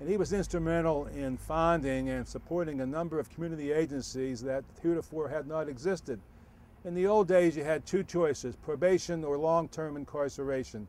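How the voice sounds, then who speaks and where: In a plain, everyday voice, a man talks at a fairly quick pace and a fairly high pitch. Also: ordinary pitch variation. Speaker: retired chief of juvenile probation. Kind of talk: oral history interview answer.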